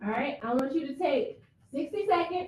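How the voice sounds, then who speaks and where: A woman talks loudly at a moderate pace in an animated tone. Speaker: ethics attorney presenter. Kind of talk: interactive training presentation. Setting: room with live audience.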